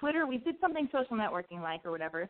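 Speaking at a very fast pace, a woman uses a fairly high pitch with very wide swings. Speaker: call-in advice show host. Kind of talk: call-in radio show, casual chat. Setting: internet radio with phone-in callers. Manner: rambling, off-the-cuff delivery.

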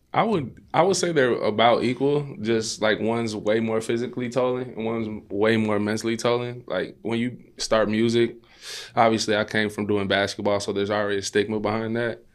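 A man speaks at a medium pitch and a fairly quick pace. His intonation stays fairly even. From Chicago western suburbs, Illinois (Maywood). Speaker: musician, former basketball player. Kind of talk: casual chat.

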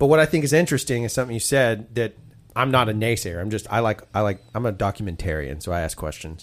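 In an Alabama accent, a man talks at a very fast pace with a medium pitch and lively intonation. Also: very clean recording, silent background. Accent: Southern US (Alabama). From US South. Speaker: podcast host. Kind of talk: casual chat; sponsor read.

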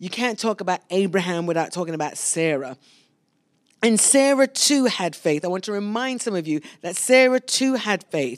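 A woman with a London accent, medium pitch, very wide pitch swings and a moderate pace. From London, England. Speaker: pastor. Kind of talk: sermon. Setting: church service streamed live.

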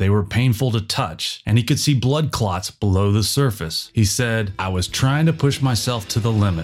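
A man speaks in an ordinary speaking voice at medium pitch and a moderate pace, with ordinary pitch variation. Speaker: documentary narrator. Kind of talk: audio documentary narration. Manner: even, polished, measured narrator delivery; authoritative, steady, informative.

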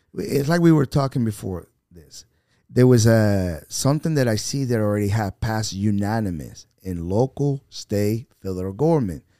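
A man with a Spanish accent speaks at a fairly low pitch and a moderate pace, his dark, mellow tone carrying lively intonation and big swings in loudness. The recording is very clean with a silent background, dry and close with no echo. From Venezuela. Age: 50s. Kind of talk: podcast interview.

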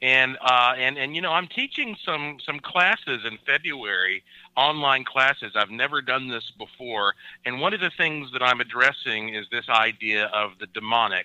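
Here is a man with an unremarkable speaking voice. His pitch is medium, his pitch variation ordinary and his pace moderate. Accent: American. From western North Carolina (Asheville). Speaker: paranormal researcher and author. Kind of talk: interview. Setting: remote interview from Puerto Rico.

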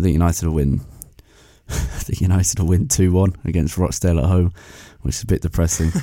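In a put-on character voice, a man talks at a moderate pace with a raspy, very deep, low pitch and long, frequent pauses. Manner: glum, hesitant.

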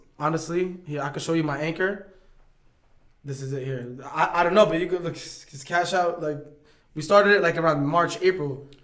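A man with an American accent speaks at a fairly quick pace, his voice fairly high-pitched for a man. The intonation stays fairly even, and audible room echo surrounds him. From New York. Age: 20s. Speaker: YouTuber and boxer. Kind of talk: casual chat.

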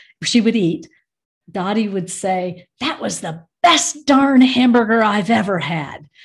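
A woman speaks somewhat breathily at a fairly slow pace over a quiet background. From US Midwest, Michigan. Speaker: end of life educator. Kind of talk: casual interview.

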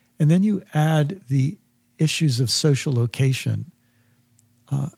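Somewhat breathy, with a dark, mellow tone, a man speaks at a fairly slow pace. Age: 60s. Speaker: spiritual teacher and faculty dean. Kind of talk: casual conversation.

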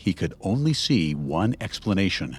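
A man's voice with vocal fry and very wide pitch swings, on a very clean recording with a silent background. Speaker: podcast host. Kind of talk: true-crime narration. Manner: dramatic, measured storytelling delivery; serious, suspenseful, steady pacing.

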